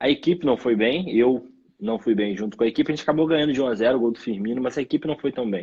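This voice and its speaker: A man speaks at a very fast pace and medium pitch. His pitch varies in an ordinary way. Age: 30s. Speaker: professional footballer. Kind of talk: interview. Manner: halting.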